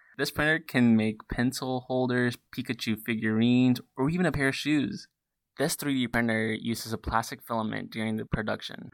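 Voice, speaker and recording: An unremarkable speaking voice from a man with an American accent, medium pitch, ordinary pitch variation and moderate pace, in a very clean recording with a silent background and a dry, close sound with no echo. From US South, western North Carolina. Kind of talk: scripted student podcast conversation.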